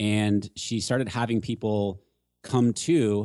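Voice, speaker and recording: A man with an American accent has an ordinary speaking voice, fairly low pitch and ordinary pitch variation. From San Diego area, California. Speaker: Facebook ads expert. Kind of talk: casual interview Q and A.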